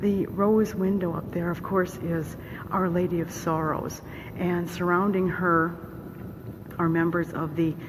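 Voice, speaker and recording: The quiet voice moves at a fairly slow pace with fairly even intonation, amid noticeable background noise and audible room echo. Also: woman. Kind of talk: vlog tour narration. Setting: inside a church shrine.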